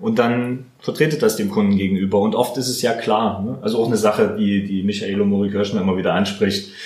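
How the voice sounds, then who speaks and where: The speech comes at a fairly quick pace with hardly any pauses and fairly even intonation. Noticeable background noise and audible room echo are present. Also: man, fairly low pitch for a man. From Heidelberg, Germany. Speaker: videographer and photographer. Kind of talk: interview, casual chat.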